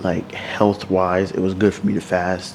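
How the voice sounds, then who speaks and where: A man speaks quietly at a very deep, low pitch. Background noise is noticeable. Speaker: lifestyle vlogger. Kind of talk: casual vlog talk to camera. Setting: at home at night. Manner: quiet, close to the mic.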